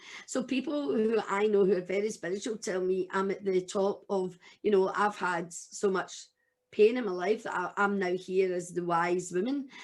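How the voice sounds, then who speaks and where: Over a quiet background, a woman speaks at medium pitch and a moderate pace. Her pitch varies in an ordinary way. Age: 60s. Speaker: domestic abuse survivor and publisher. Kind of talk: interview testimony. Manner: animated.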